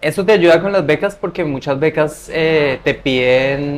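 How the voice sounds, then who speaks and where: Speaking in an ordinary speaking voice, a man keeps a fairly slow pace. The variation in his pitch is ordinary. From Latin America. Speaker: scholarship adviser and traveler. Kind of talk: interview.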